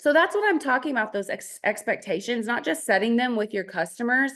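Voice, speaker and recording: A woman talks with a Texas accent. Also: quiet background. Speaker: network marketing team leader. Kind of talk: online business training. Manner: casual, chatty with fillers.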